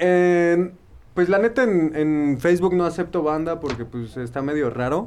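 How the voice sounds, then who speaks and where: Here a man with a Mexican accent speaks at a fairly slow pace, his high voice showing ordinary pitch variation. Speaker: podcast host. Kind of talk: casual chat.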